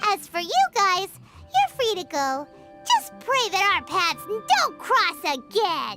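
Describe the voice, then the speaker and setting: An extremely high-pitched, put-on character voice. Music is clearly audible behind it. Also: fairly slow pace. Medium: video game.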